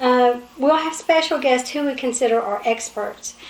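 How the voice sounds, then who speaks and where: A woman with an Appalachian accent, high in pitch, at a moderate pace with ordinary pitch variation, over noticeable background noise. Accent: Appalachian Kentucky. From southeastern Kentucky. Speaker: talk show co-host. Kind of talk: casual talk show chat.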